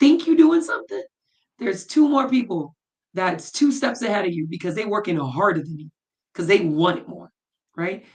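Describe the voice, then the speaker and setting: A woman with an American accent, animated tone and somewhat breathy delivery, very wide pitch swings, big swings in loudness, and long, frequent pauses. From US Virgin Islands. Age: 30s. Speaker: former athlete and entrepreneur. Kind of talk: interview.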